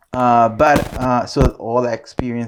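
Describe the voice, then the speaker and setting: A man with a Nicaraguan accent speaks at a medium pitch. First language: Spanish. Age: 40s. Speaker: photographer. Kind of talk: casual interview. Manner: hesitant, many fillers.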